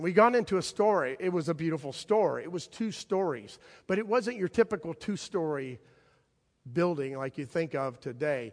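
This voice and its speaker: Against a quiet background, a man with a high pitch speaks at a moderate pace with lively intonation. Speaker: pastor. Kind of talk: sermon; nostalgic personal reminiscence within a sermon, warm storytelling. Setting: church. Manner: conversational with halting repeats, fond chuckle.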